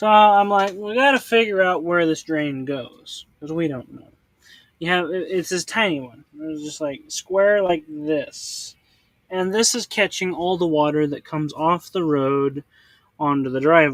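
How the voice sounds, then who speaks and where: At a fairly slow pace, a man with a high pitch speaks with ordinary pitch variation and big swings in loudness, captured in a very clean recording with a silent background. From US Midwest. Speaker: homeowner showing a drainage problem on video.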